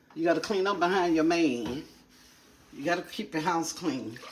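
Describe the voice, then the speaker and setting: A woman speaks in an animated tone at a fairly low pitch, her voice making very wide pitch swings. Background noise is noticeable. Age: 60s. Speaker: lifestyle vlogger. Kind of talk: casual vlog talk while cleaning. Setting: home kitchen.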